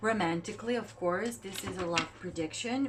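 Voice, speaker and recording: A woman speaks with a non-native accent at a fairly low pitch, her pitch swinging very widely over noticeable background noise. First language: not English. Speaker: tarot reader. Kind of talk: tarot reading. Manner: halting.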